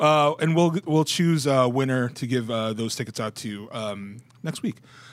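In a very clean recording with a silent background, a man talks at a moderate pace and medium pitch in an unremarkable speaking voice, his pitch varying in an ordinary way. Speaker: podcast host. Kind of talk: casual chat. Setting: live video podcast.

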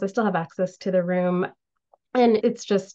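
A woman with an American accent has an ordinary speaking voice at a medium pitch, varying it in an ordinary way. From United States, Indian family. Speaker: author and civil engineer. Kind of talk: casual interview.

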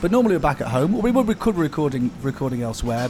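A man with lively intonation talks very fast as noticeable background noise continues behind him. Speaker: podcast co-host. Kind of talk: casual chat over tea and cake. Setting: coffee house cafe.

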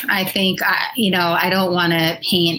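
Noticeable background noise sits behind the speaker. A woman talks at a fairly low pitch with an American accent. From Washington DC, US. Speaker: venture capital investor. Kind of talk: live interview.

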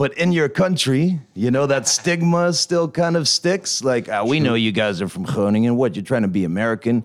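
The man's medium-pitched voice moves at a moderate pace with very wide pitch swings and hardly any pauses. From Netherlands. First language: Dutch (speaking French). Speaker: rapper. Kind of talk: interview.

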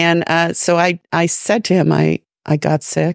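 The sound is dry and close, with no echo. A woman is speaking. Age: 60s. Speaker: podcast co-host. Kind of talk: casual chat.

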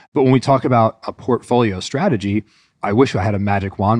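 Speaking in an American accent at a fairly quick pace, a man uses an ordinary speaking voice at medium pitch with ordinary pitch variation. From US Northeast. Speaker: e-commerce strategy executive. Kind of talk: podcast interview.

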